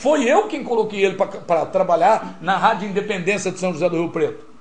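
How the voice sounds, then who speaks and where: A high-pitched man talks fairly quickly with lively intonation. Noticeable background noise runs underneath. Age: 50s. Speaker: radio broadcaster and journalist. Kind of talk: casual interview. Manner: animated.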